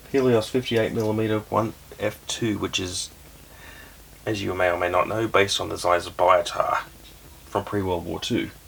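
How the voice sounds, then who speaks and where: Against noticeable background noise, a man speaks at a moderate pace and fairly low pitch, with fairly even intonation and long, frequent pauses. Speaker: camera reviewer, YouTuber. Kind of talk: casual product review. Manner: quiet, soft-spoken; casual, hesitant with fillers.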